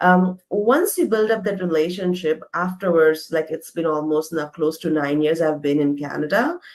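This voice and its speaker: With an Indian accent, a woman speaks with hardly any pauses. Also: fairly low pitch for a woman, ordinary pitch variation, moderate pace. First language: not English. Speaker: interview guest, immigrant professional. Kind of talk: casual interview.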